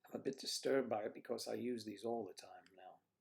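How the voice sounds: A man talks at a fast pace in a fairly low pitch, with vocal fry and a slightly husky edge. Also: ordinary pitch variation.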